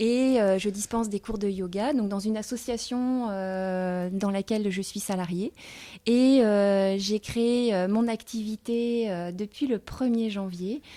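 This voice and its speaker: A woman's dark, mellow voice at medium pitch, very slow, with fairly even intonation, on a very clean recording with a silent background. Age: 40s. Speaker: yoga teacher. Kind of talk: interview. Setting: filmed in a coworking house. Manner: halting, many hesitations.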